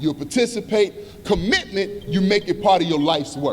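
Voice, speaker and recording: Over noticeable background noise, a high-pitched man talks at a moderate pace. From Chicago South Side, US. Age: 50s. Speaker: community organizer and activist. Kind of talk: conference speech. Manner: impassioned, emphatic.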